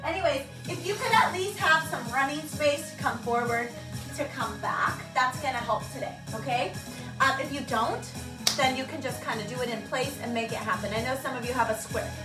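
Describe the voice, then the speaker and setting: Backed by music, a woman's speech moves at a fairly quick pace. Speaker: fitness instructor. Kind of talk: live workout class instructions. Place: home room. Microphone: camera far.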